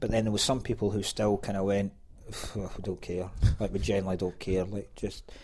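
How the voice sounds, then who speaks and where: A man with a Scottish accent and a fairly low pitch, talking at a fairly quick pace. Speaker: stand-up comedian. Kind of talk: casual chat. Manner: animated.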